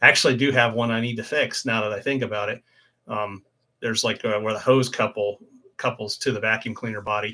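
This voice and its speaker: Speaking very fast in a Midwestern American accent, a man with a medium pitch and a bright, sharp tone delivers his words in a flat monotone on a very clean recording with a silent background. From Ohio, US Midwest. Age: 50s. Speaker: motorcycle YouTuber. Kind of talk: casual live stream chat. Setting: home live stream.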